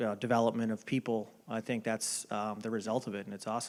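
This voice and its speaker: At a very fast pace, a man with a Boston accent speaks at a medium pitch in a monotone, flat intonation. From Boston area, US. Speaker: baseball front office executive. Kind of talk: interview. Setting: dinner event. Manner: hesitant, many fillers.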